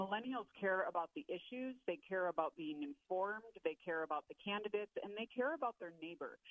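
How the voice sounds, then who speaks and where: Her voice sits at a medium pitch for a woman, moving through very wide pitch swings at a fairly quick pace. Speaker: policy analyst. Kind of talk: interview.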